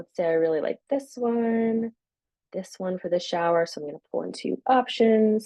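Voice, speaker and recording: A woman's voice with ordinary pitch variation, a dry sound with no echo, and a quiet background. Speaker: software company co-founder giving product demo; presenter. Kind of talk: software demo webinar. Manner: fast. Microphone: webcam.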